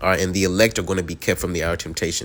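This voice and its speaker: The speaker is a man with a fairly low pitch. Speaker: bible teacher. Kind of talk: bible lesson. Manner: filler-heavy, repeats all right; fast.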